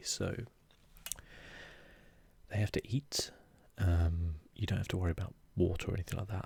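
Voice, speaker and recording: Soft-spoken and somewhat breathy, a man with a very deep, low pitch talks at a fairly quick pace in a calm, relaxed tone. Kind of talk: soft-spoken ASMR gaming commentary.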